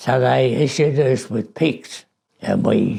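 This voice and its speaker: The speaker talks very slowly in an Australian accent, with vocal fry. The intonation is lively. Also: man. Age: 80s+. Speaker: war veteran. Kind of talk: interview answer.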